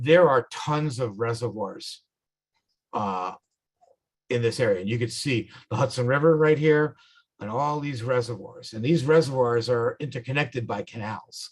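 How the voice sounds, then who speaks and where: A somewhat breathy man with a New York accent speaks at a moderate pace and medium pitch, with ordinary pitch variation. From New York, the Bronx, then upstate. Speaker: motorcycle club instructor. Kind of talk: tutorial. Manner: casual, halting.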